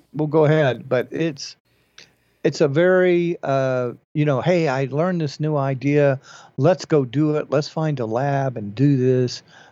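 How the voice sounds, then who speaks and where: A man speaks at a fairly slow pace with fairly even intonation and a fairly high pitch, in a plain, everyday voice. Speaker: podcast host.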